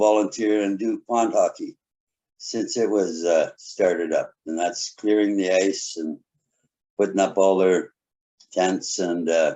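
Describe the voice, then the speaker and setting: A man with a Canadian accent talks at a fairly slow pace. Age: 60s. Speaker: municipal council candidate. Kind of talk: candidate forum statement. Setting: video call.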